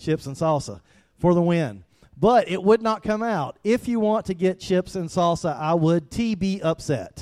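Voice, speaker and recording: A man with a strong South Georgia accent, recorded dry and close with no echo. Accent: thick South Georgia. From US South, South Georgia. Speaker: pastor. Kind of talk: sermon.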